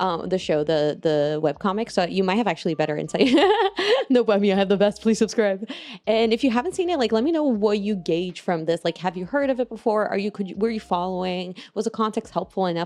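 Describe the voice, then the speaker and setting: With a non-native accent, a woman talks very fast at a medium pitch with ordinary pitch variation. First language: not English. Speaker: vtuber and stand-up comedian. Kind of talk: casual commentary to camera.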